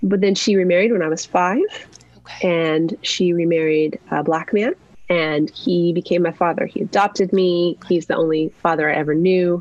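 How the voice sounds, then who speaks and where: A woman's fairly low voice at a moderate pace, with fairly even intonation, very even loudness, and noticeable background noise. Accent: American. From US Southwest, New Mexico. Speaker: author and campus ministry worker. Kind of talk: interview conversation.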